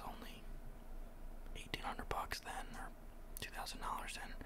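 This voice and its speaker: Loud background noise sits behind a voice speaking at a moderate pace. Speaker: ASMR channel host. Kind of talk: ASMR crypto talk.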